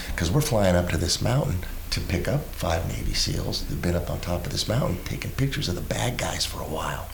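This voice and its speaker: Amid noticeable background noise and audible room echo, a man with a very deep, low pitch speaks at a very fast pace with hardly any pauses and very wide pitch swings. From Nevada, US West. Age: 60s. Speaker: Navy veteran and public speaker. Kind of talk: interview storytelling. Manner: animated.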